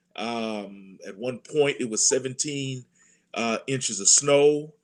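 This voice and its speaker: A man's medium-pitched voice at a very slow pace, with ordinary pitch variation and big swings in loudness, in a very clean recording with a silent background. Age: 60s. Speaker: church administrator and pastor. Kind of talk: panel discussion.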